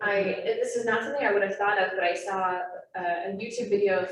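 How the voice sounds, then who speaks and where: Amid audible room echo and noticeable background noise, a woman talks at a very fast pace. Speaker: naturalist trainer. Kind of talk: lecture.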